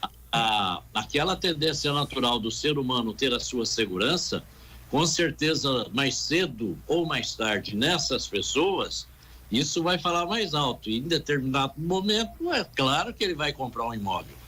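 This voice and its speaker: A man speaks at a fairly slow pace in a fairly high pitch, his bright, sharp tone marked by vocal fry and very wide pitch swings. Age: 70s. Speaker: real estate council president. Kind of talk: radio interview.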